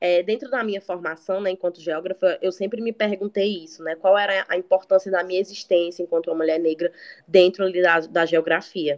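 An ordinary speaking voice from a woman at a medium pitch, fairly quick with hardly any pauses and fairly even intonation, in a dry, close sound with no echo. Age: 20s. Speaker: recent geography graduate. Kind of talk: casual chat.

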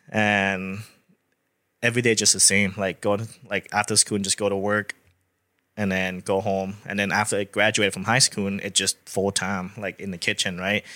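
In a Thai accent, a man speaks at a fairly low pitch with a bright, sharp tone and monotone, flat intonation at a moderate pace. The sound is dry and close with no echo, on a very clean recording with a silent background. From Thailand (Bangkok). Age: 30s. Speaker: real estate agent. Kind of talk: interview.

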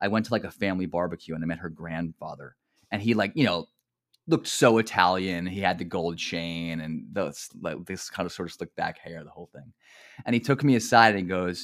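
A fairly quick pace in a New Jersey accent. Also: man, very clean recording, silent background. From central New Jersey. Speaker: mentor and academic counselor. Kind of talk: casual conversational interview. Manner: conversational, laughs often, uses filler words.

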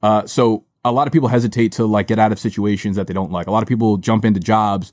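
A man's ordinary speaking voice, fairly low and fairly quick with fairly even intonation, in a dry, close sound with no echo on a very clean recording with a silent background. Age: 30s. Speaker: media company founder. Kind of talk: casual chat. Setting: studio.

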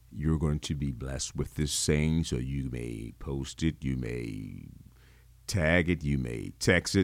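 The pace is very slow. Pitch variation is ordinary. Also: man, very deep, low pitch for a man. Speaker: podcast host, cigar enthusiast. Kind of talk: casual solo talk show.

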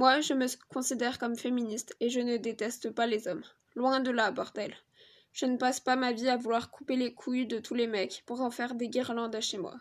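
Against a quiet background, the speaker keeps a moderate pace with monotone, flat intonation. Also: woman. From Niger, France, Madagascar and Spain. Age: 20s. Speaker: aspiring chef. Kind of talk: personal testimony monologue.

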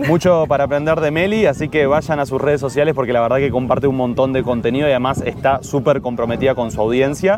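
A man with fairly high pitch and ordinary pitch variation, very fast with hardly any pauses, very even loudness, and noticeable background noise. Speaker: podcast host. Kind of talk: interview. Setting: outdoors on a beach.

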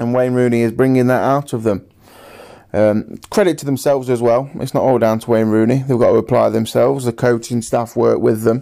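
A man speaks at a medium pitch and a fairly quick pace, his intonation fairly even and his tone dark and mellow. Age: 20s. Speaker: football podcaster. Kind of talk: solo football podcast monologue.

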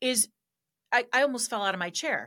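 Her tone bright and sharp, a woman speaks at a moderate pace with very wide pitch swings. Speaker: political commentator. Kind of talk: casual political discussion.

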